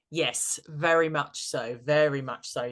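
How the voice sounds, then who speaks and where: A woman with a very deep, low pitch and ordinary pitch variation at a very slow pace, over a quiet background. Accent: British. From Britain. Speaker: tarot and practical magic coach. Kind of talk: interview podcast. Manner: hesitant, many fillers and repeats.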